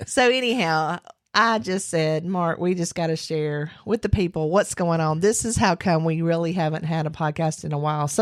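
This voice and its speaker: A woman with a Deep South accent speaks at a fairly low pitch. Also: ordinary pitch variation, moderate pace. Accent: Deep Southern American. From Deep South, US. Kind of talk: casual, conversational.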